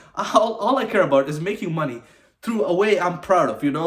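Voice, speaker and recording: Over noticeable background noise, a man in an animated tone speaks at a fairly quick pace, his high pitch making very wide swings. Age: 20s. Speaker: vlogger. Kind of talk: casual monologue to camera. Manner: animated, informal; stuttering, halting at times.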